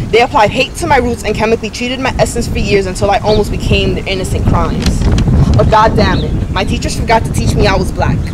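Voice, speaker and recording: High-pitched for a man, he talks at a very fast pace with ordinary pitch variation. Both background noise and room echo are noticeable. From Dominican Republic. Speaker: poet and author. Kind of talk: spoken word poetry; interview.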